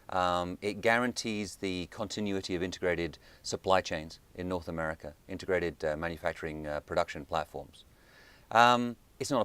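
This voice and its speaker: A man with a British accent speaks at a very deep, low pitch with ordinary pitch variation. The recording is very clean, with a silent background. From United Kingdom. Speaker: think tank director. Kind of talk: interview. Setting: studio.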